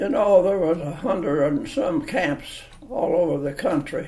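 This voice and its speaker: With a rural Kentucky accent, a man talks at a very slow pace. His pitch swings very widely. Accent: Kentucky rural Southern. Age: 80s+. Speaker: interviewee. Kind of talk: oral history interview. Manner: halting.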